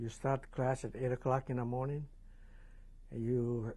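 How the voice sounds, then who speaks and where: Somewhat breathy and dark, mellow in tone, a man speaks slowly in a monotone, flat intonation at a fairly slow pace. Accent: Hawaiian. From Hawaii, Maui. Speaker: war veteran. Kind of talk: oral history interview. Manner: hesitant, many fillers.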